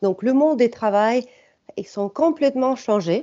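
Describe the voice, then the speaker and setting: A fairly slow pace with a slight non-native accent. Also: woman. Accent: slight foreign. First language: not French (speaking French). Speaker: startup executive. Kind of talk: webinar presentation. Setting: online webinar. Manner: hesitant, many filler sounds.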